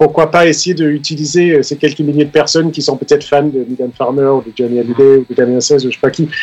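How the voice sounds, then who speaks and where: Over noticeable background noise, a man talks at a very fast pace and fairly high pitch, with fairly even intonation and hardly any pauses. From Denmark. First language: Danish (speaking French). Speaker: keyboard player. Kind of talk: radio interview. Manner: halting.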